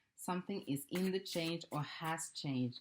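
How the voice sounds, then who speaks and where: The pitch shifts in an ordinary way while the talking holds a moderate pace. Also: woman. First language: not English. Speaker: tarot card reader. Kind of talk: oracle card reading. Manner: casual, hesitant.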